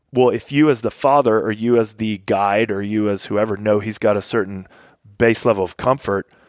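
A man with an American accent has a plain, everyday voice and fairly even intonation, recorded very cleanly with a silent background and a dry, close sound with no echo. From Kentucky, US (military family). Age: 40s. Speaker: Air Force veteran. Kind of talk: casual chat. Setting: hunting camp.

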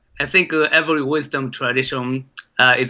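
With a Japanese accent, a man speaks at a moderate pace and a medium pitch. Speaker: documentary filmmaker. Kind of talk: interview. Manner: hesitant, many filler sounds.

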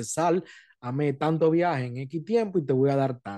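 This man has a plain, everyday voice, pitched fairly high, with ordinary pitch variation at a moderate pace. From Dominican Republic. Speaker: podcast host, Uber driver. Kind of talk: casual chat.

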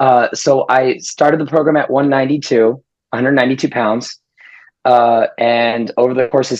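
A man with an American accent, medium pitch, fairly even intonation and a very slow pace. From Las Vegas, US. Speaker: weight loss client. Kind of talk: interview testimony. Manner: halting.

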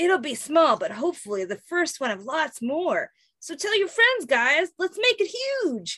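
Using a put-on character voice, a woman speaks at a moderate pace, extremely high in pitch and with very wide pitch swings. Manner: bad impression.

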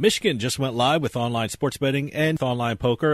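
An ordinary speaking voice with an American accent. The recording is very clean, with a silent background. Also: man. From New Jersey. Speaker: radio host. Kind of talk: casual interview chat; infomercial ad read. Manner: fast, punchy, salesy.

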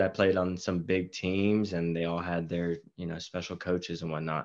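Against a quiet background, a man with an American accent speaks at a very deep, low pitch with fairly even intonation. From Texas, Marble Falls near Austin. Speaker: high school teacher and soccer coach. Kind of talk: casual interview. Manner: halting with many fillers.

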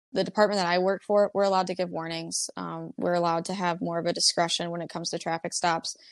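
An ordinary speaking voice, a woman's, fairly low in pitch, with an American accent, at a fairly quick pace, dry and close with no echo against a quiet background. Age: 20s. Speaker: police officer. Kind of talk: interview, casual chat.

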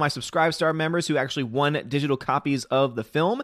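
In an animated tone with ordinary pitch variation, the speaker goes at a fairly quick pace on a very clean recording with a silent background. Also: man. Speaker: movie critic streamer. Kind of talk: live stream chat reading viewer comments. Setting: live stream with chat. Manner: casual, animated.

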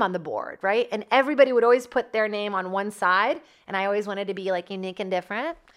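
Talking at a very fast pace, a woman shows ordinary pitch variation. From Brazil. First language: Portuguese. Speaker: podcast host, actor and comedian. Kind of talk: casual monologue. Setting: comedy club studio.

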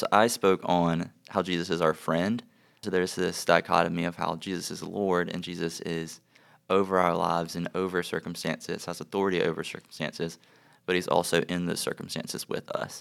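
A very deep, low-pitched male voice in a flat monotone, on a very clean recording with a silent background. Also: fairly quick pace. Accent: American. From US South, South Carolina. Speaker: ministry director, student. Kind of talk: casual chat.

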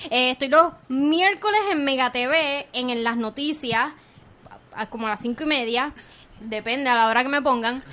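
A woman's bright, sharp, animated voice, raised and projected, high-pitched, with ordinary pitch variation and a moderate pace. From Puerto Rico, Caguas. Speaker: podcaster and TV news contributor. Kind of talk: casual chat.

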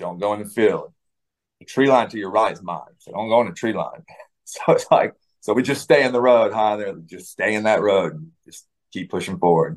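An ordinary speaking voice: a man with an American accent, fairly low pitch, ordinary pitch variation, moderate pace and big swings in loudness. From US South. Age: 40s. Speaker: war veteran. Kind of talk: interview. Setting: video call.

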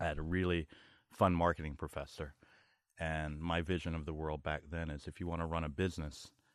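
A man with a very deep, low voice and a New York accent, flat monotone delivery at a fairly quick pace. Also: quiet background. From New York, Brooklyn (Flatbush), born in Barbados. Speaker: marketing executive. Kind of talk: podcast interview. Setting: outdoors at a lake house with small crowd.

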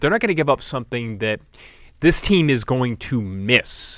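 A man with an unremarkable speaking voice, medium in pitch, lively in intonation and fairly quick, in a very clean recording with a silent background. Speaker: sports podcast co-host. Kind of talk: casual sports talk podcast.

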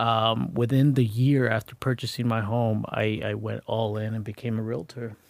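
This man has an ordinary speaking voice at a medium pitch, talking at a moderate pace with fairly even intonation and hardly any pauses. The recording is very clean, with a silent background. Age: 30s. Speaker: realtor. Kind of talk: casual chat.

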